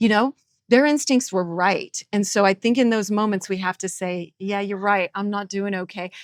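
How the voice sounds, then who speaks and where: A woman speaks at a moderate pace and medium pitch with ordinary pitch variation, in an ordinary speaking voice. The recording is very clean, with a silent background and a dry, close sound with no echo. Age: 50s. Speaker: musician and radio veteran. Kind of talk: podcast interview.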